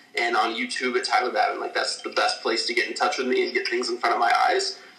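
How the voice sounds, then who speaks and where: Against noticeable background noise, a man with an American accent talks at a very fast pace. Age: 20s. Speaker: filmmaker. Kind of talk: casual interview.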